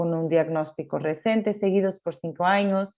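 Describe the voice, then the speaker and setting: A woman in a Portuguese accent, with a fairly low pitch, a dark, mellow tone and fairly even intonation, over a quiet background. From Portugal. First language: Portuguese (speaking Spanish). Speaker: gastroenterologist. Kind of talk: conference talk. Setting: remote presentation. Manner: hesitant, many fillers.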